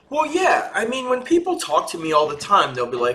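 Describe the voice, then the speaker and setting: With noticeable background noise behind him, a man with an American accent speaks in a raised, projected voice that swings very widely in pitch. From West Philadelphia. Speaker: pastor and author. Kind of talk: interview answer.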